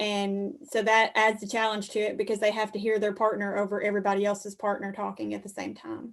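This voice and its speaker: Talking very fast, a woman speaks with a Southern US accent. She leaves hardly any pauses. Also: medium pitch for a woman, fairly even intonation. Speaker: 4-H extension educator. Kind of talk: presentation on a video call.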